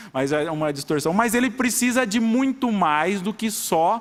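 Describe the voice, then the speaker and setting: A man with an interior São Paulo accent speaks with very wide pitch swings. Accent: caipira interior. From rural São Paulo state, Brazil. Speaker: judge. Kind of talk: public hearing speech. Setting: city council chamber. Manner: halting, with many repetitions.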